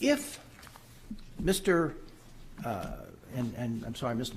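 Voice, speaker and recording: Audible room echo surrounds a man who speaks somewhat breathily at a fairly slow pace. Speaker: public commenter at zoning hearing. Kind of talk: public comment at board meeting.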